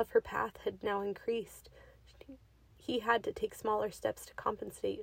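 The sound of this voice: This is an unforced reading voice.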